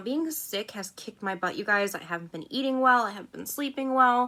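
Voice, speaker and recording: This woman talks fairly quickly, and her pitch sits high. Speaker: beauty vlogger. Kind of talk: makeup tutorial vlog. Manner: casual, chatty.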